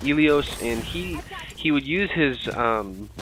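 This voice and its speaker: Lively intonation marks this man's speech, with music in the background. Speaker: gaming commentator. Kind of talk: gameplay commentary.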